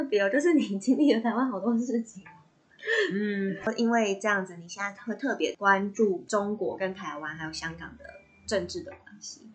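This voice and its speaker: A woman in a Taiwanese accent at a moderate pace, with lively intonation and big swings in loudness. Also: medium pitch for a woman. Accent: Taiwanese Mandarin. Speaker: podcast host. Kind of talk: scripted narration; casual chat.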